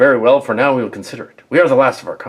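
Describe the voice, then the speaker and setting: A put-on character voice, pitched low to middle and delivered at a very fast clip. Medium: machinima. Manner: haughty, declamatory.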